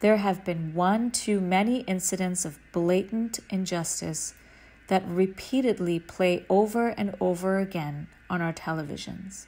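A woman speaks very slowly at a medium pitch, her dark, mellow tone somewhat breathy and her intonation fairly even. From Sri Lanka. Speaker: attorney. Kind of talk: spiritual talk.

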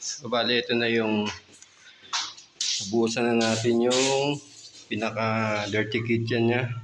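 A man speaks at a medium pitch, with noticeable background noise and audible room echo. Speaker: DIY home improvement vlogger and contractor. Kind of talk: casual site walkthrough vlog. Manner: halting, many fillers.

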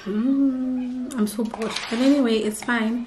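A woman's slow, fairly high-pitched voice with a slightly mellow tone, fairly even intonation and audible room echo

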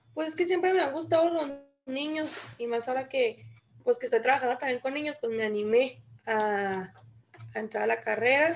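Lively intonation and a high pitch mark this woman's speech at a moderate pace. She leaves long, frequent pauses, with light background noise behind her. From Chihuahua, Mexico. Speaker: student, childcare worker. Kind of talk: class participation. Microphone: video call.

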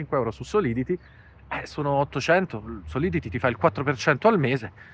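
Vocal fry runs through this man's fairly high-pitched voice, which swings very widely in pitch. He keeps a moderate pace, and the sound is dry with no echo. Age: 40s. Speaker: finance YouTuber. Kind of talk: vlog monologue. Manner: animated. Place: garden. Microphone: lapel.

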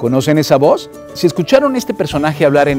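Male speech accompanied by clear background music. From Venezuela. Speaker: voice actor. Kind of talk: motivational talk. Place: studio.

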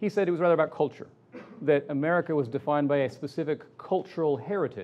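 A man's voice with ordinary pitch variation. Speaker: keynote lecturer. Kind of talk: lecture. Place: hall. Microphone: podium.

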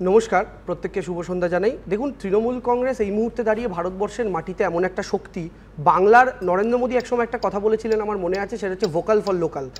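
High pitch from a man, with ordinary variation in that pitch. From West Bengal, Bally (Howrah); West Bengal. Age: 20s. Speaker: politician, election candidate. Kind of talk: televised political interview. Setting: studio. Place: studio.

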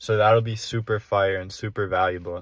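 A man with a fairly low pitch speaks at a moderate pace. His intonation is flat and monotone, and the sound is dry with no echo. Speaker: young entrepreneur vlogger. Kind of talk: casual vlog chat. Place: car. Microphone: phone near.

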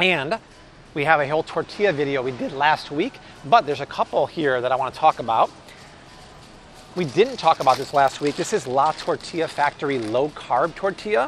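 With a fairly bright tone and lively intonation, a man talks at a moderate pace in a fairly high pitch.

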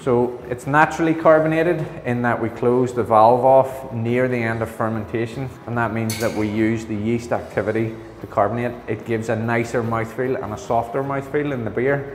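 A man at a moderate pace with hardly any pauses and fairly even intonation, amid light background noise and audible room echo. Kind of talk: interview answer. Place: hall. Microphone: lapel.

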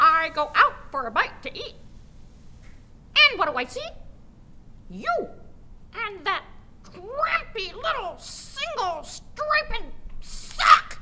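A female-sounding put-on character voice has an extremely high pitch with very wide swings. It moves at a very slow pace with long, frequent pauses over clear background noise. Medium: short film. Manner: accusing, shrill, sarcastic.

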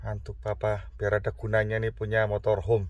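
A man speaks at a moderate pace in a fairly low voice with vocal fry. The sound is dry, with no echo. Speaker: motorhome vlogger. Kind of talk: casual vlog chat. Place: car. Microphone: phone near.

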